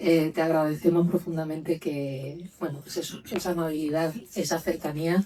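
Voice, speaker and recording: A woman at a moderate pace in a fairly low pitch, with monotone, flat intonation. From Galicia, Lugo. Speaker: trade union official. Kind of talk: panel talk.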